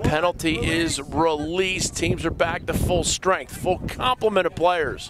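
A man speaks at a fairly slow pace with a high pitch and very even loudness. Noticeable background noise runs underneath. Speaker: play-by-play sports commentator. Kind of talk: live commentary. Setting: outdoors. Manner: animated.

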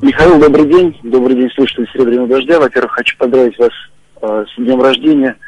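At a very fast pace, a man speaks with a medium pitch and fairly even intonation. The sound is dry with no echo, with light background noise. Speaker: caller. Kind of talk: radio phone-in consultation. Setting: phone call. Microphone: phone line.

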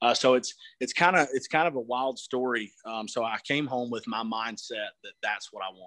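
A man with an American accent has a bright, sharp tone at a moderate pace. The sound is dry with no echo over a quiet background. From US South. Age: 20s. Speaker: truck builder; interviewee. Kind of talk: interview. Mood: relaxed, enthusiastic. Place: garage. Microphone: phone near.

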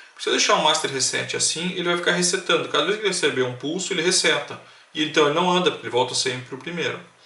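Over noticeable background noise and audible room echo, a man talks at a very fast pace with a high pitch and ordinary pitch variation. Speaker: electronics tutorial youtuber. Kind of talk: tutorial.

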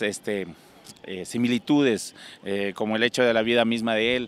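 At a moderate pace, a man speaks in a dry sound with no echo. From Ecuador, Loja (El Cisne); Ecuador. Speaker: singer; interviewee. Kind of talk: interview. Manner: halting. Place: street. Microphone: handheld.

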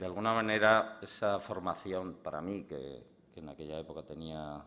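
The man's pitch varies ordinarily while he speaks at a fairly slow pace. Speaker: guest. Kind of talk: public talk. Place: hall. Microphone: podium.

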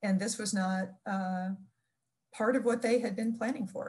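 Somewhat breathy, a woman's voice holds a fairly level intonation. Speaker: museum information professional. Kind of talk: oral history interview. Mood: friendly, reflective, smiling. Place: home room. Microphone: video call.

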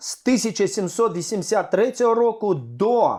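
A man is speaking. The background is quiet. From Crimean Tatar, born in exile, later Crimea. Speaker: community activist and cultural events manager. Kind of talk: interview testimony. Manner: halting.

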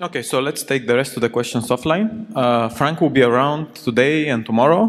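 Noticeable background noise sits behind a man's medium-pitched voice. He talks at a fairly quick pace with lively intonation. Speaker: session chair. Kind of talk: moderating audience Q&A. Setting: stage with audience.

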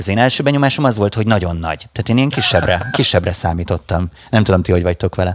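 A man with a very deep, low pitch talks at a very fast pace with ordinary pitch variation, the sound dry with no echo. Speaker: radio host. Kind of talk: casual chat. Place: studio. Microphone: studio mic.

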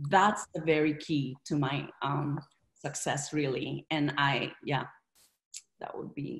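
A woman speaks very slowly in a very deep, low, somewhat breathy voice with fairly even intonation. The background is quiet. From Philippines. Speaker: real estate investor. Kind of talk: interview. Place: home room. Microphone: video call.

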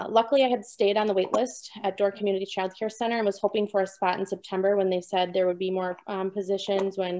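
The speaker has an American accent and a dark, mellow tone. Light background noise sits underneath. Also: woman. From southern Wisconsin. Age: young. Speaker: new mother and dairy farmer. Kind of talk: personal testimony. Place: home room. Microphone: video call.

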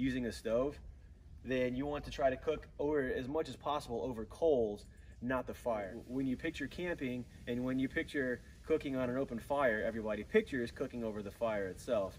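A man speaks at a fairly quick pace with ordinary pitch variation. Light background noise is present. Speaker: outdoor cooking instructor. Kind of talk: tutorial. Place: garden.

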